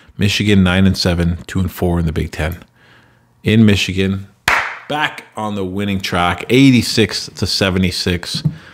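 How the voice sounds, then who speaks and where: This man has a very deep, low voice. His pitch varies in an ordinary way. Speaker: gaming video creator; gaming video host. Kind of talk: casual gameplay commentary. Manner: conversational, rambling. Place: home room.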